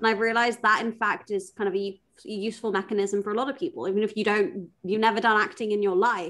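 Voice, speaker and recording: Speaking at a fairly quick pace, a woman with a strong British accent uses a fairly high pitch and ordinary pitch variation. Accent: thick British. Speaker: product manager and conference speaker. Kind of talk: casual chat.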